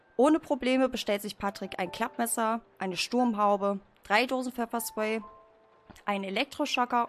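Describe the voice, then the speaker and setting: A woman's moderate-paced speech is accompanied by music in the background. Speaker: podcast host and streamer. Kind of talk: casual chat, live stream.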